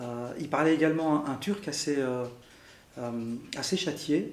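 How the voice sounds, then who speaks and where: Over audible room echo, a man with a fairly high voice speaks at a fairly slow pace with ordinary pitch variation. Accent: Arabic. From Belgium, Brussels. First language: Arabic (speaking French). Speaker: interviewee sharing family history. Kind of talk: interview testimony. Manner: halting, many fillers.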